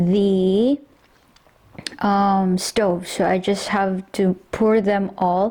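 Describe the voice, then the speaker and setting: In a Filipino accent, a woman speaks at medium pitch and a very slow pace with monotone, flat intonation. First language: Tagalog. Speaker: home cook vlogger. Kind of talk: cooking tutorial. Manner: casual, with hesitations.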